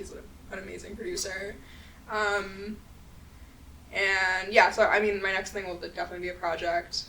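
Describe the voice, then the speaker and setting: A woman at medium pitch speaks in a flat monotone at a moderate pace, her loudness swinging widely and her speech broken by long, frequent pauses. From New York. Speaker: musician. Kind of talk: interview answer. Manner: casual, relaxed.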